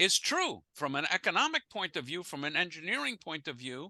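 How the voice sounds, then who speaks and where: The recording has a dry, close sound with no echo. A man speaks with lively intonation in a fairly high pitch and a bright, sharp tone. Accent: American. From United States. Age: 70s. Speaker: rabbi and former physicist leading an interfaith class. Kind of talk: lecture with audience Q&A. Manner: halting, with repetitions and fillers.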